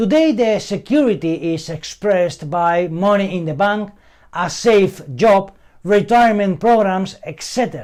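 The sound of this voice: Here is an unforced reading voice. Pitch variation is ordinary.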